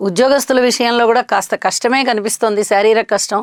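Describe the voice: A woman with a fairly high voice talks at a fairly quick pace and fairly even intonation, in a dry, close sound with no echo.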